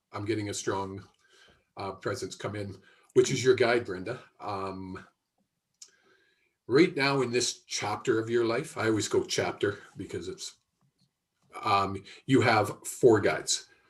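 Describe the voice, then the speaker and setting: Speaking fairly slowly with long, frequent pauses, a man with a Canadian accent uses a medium-pitched, somewhat breathy voice, ordinary pitch variation and big swings in loudness. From Canada, Alberta (Airdrie). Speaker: psychic medium. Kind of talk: live intuitive reading. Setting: live video stream. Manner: halting, many filler ums and restarts.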